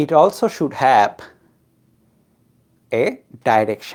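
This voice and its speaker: Speaking at a very slow pace with vocal fry, a woman talks in a non-native accent. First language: not English. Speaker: physics tutor. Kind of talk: lecture.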